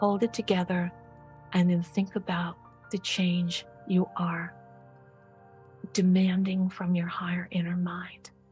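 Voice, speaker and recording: A woman's very slow, calm, soothing delivery in monotone, flat intonation, with long, frequent pauses and music in the background. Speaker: medical hypnotist and author. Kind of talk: guided hypnosis session. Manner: calm, soothing, slow.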